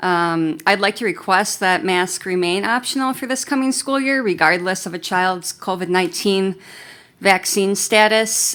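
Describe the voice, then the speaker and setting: A woman's medium-pitched voice moves along at a moderate pace. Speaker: parent speaking at public forum. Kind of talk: prepared public comment. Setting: school board meeting. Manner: soft-spoken.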